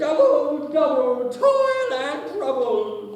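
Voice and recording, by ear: A put-on character voice at a very slow pace, with a strong echo.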